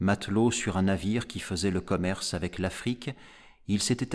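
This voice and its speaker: A man speaks in a solemn tone at a fairly low pitch, his pitch varying in an ordinary way. The recording is very clean, with a silent background. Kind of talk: audiobook reading of a gothic horror story. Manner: slow, measured, solemn narration; dramatic, grave, deliberate pacing.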